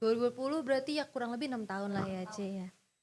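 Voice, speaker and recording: A woman's fairly high voice at a very fast clip, with ordinary pitch variation. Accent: non-native. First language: English (speaking Indonesian). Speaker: event host. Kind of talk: interview.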